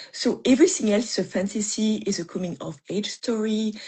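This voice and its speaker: A woman with a French accent speaks at a moderate pace in a fairly high, somewhat breathy voice. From France. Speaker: mystery author. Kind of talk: interview on writing craft. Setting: live video stream. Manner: halting, many fillers.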